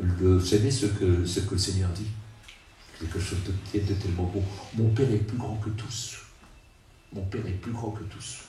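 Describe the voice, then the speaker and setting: Speaking at a fairly slow pace with long, frequent pauses, a man with a fairly low pitch and fairly even intonation shows big swings in loudness amid audible room echo. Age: 70s. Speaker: preacher. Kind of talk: sermon. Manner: halting, repetitive.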